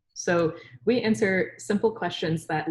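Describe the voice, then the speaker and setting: A woman's somewhat breathy voice. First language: Urdu. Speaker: scientist and science communicator. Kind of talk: webinar interview.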